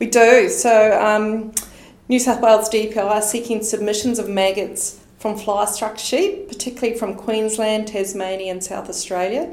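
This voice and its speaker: Delivered with a New Zealand accent at a moderate pace, the speech has fairly even intonation amid noticeable background noise and audible room echo. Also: woman, fairly high pitch for a woman. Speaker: agricultural research manager. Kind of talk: podcast interview.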